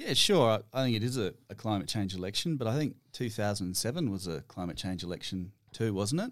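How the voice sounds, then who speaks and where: A man with an Australian accent talks at a fairly quick pace in a fairly low voice, with hardly any pauses. His intonation is lively, and the recording is very clean with a silent background. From Western Australia. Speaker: climate policy researcher. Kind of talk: casual chat.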